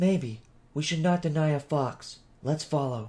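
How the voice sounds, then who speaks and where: This man puts on a character voice, fairly high in pitch, delivered at a moderate pace. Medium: read story. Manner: formal, reverent.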